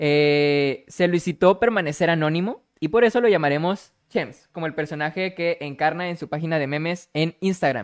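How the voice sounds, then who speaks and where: A man with a fairly high pitch and ordinary pitch variation talks at a moderate pace, leaving hardly any pauses. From Monterrey, Nuevo León, Mexico. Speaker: podcast host. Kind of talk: interview hosting. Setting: live-streamed online call.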